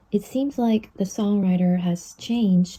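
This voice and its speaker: Over noticeable background noise, a woman with a Korean accent talks at a medium pitch and a fairly slow pace. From South Korea. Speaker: YouTuber explaining K-pop lyrics. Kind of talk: tutorial. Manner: casual, friendly.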